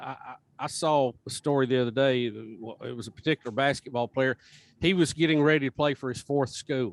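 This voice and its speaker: A man talks at a fairly quick pace in a normal speaking voice of medium pitch, the sound dry and close with no echo. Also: ordinary pitch variation. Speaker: radio show host. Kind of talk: podcast interview answer.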